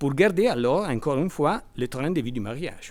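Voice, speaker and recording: A man with a non-native accent talks at a moderate pace, fairly high in pitch and lively in intonation. The recording is very clean, with a silent background. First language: Italian (speaking French). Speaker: law professor. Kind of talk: academic conference talk. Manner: halting, with repetitions.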